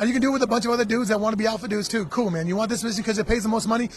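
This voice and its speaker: Over noticeable background noise, a man with a high pitch talks at a very fast pace in an animated tone with ordinary pitch variation. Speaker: MMA fighter. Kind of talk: casual interview. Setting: radio row at a live event.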